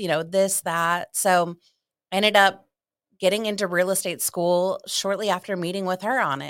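A woman's normal speaking voice at medium pitch, fairly even intonation and moderate pace, in a dry, close sound with no echo on a very clean recording with a silent background. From Ohio. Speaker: realtor. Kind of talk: casual interview.

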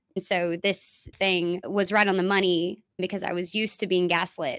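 A woman at a medium pitch, moderate pace, and fairly even intonation. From Dallas, Texas. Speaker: musician and former ministry leader. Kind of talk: interview conversation. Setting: in-person interview.

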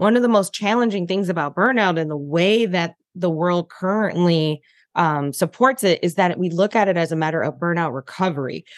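A woman's unremarkable speaking voice with an American accent, at a moderate pace with hardly any pauses, in a dry, close sound with no echo. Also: fairly low pitch for a woman, ordinary pitch variation. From US Midwest, Detroit. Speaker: burnout and wellness coach. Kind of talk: interview.

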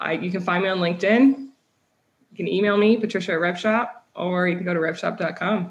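In a Midwestern American accent, a woman speaks at a fairly quick pace and medium pitch with fairly even intonation. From US Midwest. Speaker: sales tech startup founder. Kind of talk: casual interview.

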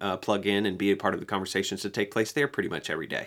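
His tone is bright and sharp, at a fairly low pitch for a man. The man keeps a fairly even intonation. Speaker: podcast co-host. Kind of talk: casual podcast discussion of a comic. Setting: remote recording, audio glitchy.

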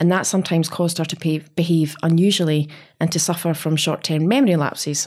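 With a plain, everyday voice, a woman talks at a fairly quick pace and fairly low pitch, keeping her intonation fairly even. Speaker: employment lawyer. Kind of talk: casual professional chat with banter. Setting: studio.

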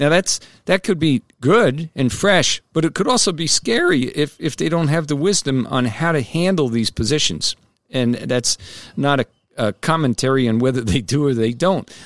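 A man with an American accent uses an ordinary speaking voice, fairly high in pitch, at a moderate pace with lively intonation. The loudness stays very even, and the sound is dry and close with no echo. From New Jersey. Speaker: podcast host and senior editor. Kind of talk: casual interview.

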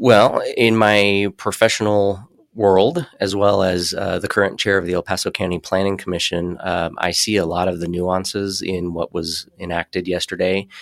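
On a very clean recording with a silent background, a man talks in a very deep, low, monotone voice with flat intonation at a moderate pace, with hardly any pauses. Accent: American. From Colorado Springs, Colorado. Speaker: city council candidate. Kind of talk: interview. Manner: halting, many fillers.

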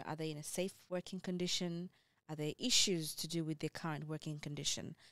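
A woman speaks in a very deep, low voice with fairly even intonation. The sound is dry and close, with no echo. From Ethiopia, schooled in Kenya. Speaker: nurse. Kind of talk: casual chat.

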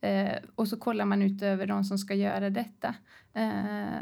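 The recording is very clean with a silent background, and the speech moves at a fairly slow pace. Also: woman. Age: 40s. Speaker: tech company founder and leadership expert. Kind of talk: casual interview. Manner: animated.

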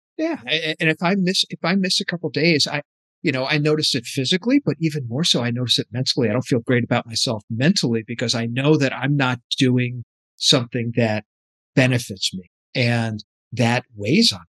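A man speaks in a normal speaking voice at medium pitch and a fairly quick pace, with ordinary pitch variation and a dry, close sound with no echo against a quiet background. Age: 50s. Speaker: podcast co-host, entrepreneur. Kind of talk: casual chat.

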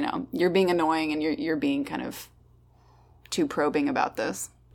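The recording is very clean, with a silent background. The voice is a woman's. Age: 20s. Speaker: program manager, podcast guest. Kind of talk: casual chat.

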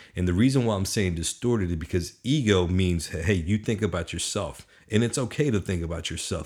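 A man's very deep, low voice at a fairly quick pace with hardly any pauses, on a very clean recording with a silent background. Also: ordinary pitch variation. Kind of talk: motivational pep talk. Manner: emphatic, fired-up, preacher-like exhortation with direct 'you' address; animated, punchy, repeating commands for rhythm.

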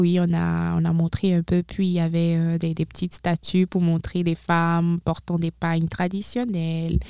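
A woman's fairly low-pitched voice with a dark, mellow tone comes at a fairly slow pace in a monotone, flat delivery, with a dry, close sound with no echo on a very clean recording with a silent background. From Benin. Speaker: former international student, university staff. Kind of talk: interview. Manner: halting.

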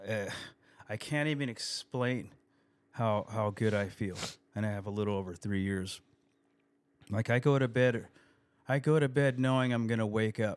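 Speaking at a moderate pace with long, frequent pauses, a man with an American accent uses a medium pitch and ordinary pitch variation. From California (East County San Diego). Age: 50s. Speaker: rock guitarist in recovery. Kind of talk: casual chat.

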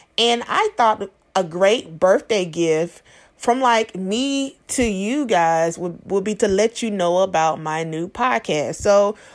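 On a very clean recording with a silent background, a woman with an unremarkable speaking voice talks at medium pitch and a fairly slow pace with lively intonation. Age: 30s. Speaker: podcast host. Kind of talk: promotional announcement.

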